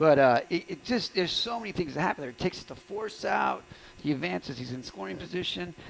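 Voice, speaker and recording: A man's fairly high voice at a very fast pace, with very wide pitch swings and noticeable background noise. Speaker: high school baseball play-by-play announcer. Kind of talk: live sports commentary. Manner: casual, conversational.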